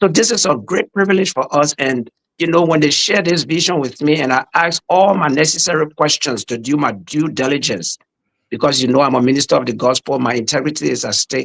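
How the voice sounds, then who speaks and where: A man speaks with a Liberian accent at a fairly high pitch. The sound is dry and close, with no echo. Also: lively intonation. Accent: Liberian accent, kept. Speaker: pastor and podcast host. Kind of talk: podcast interview.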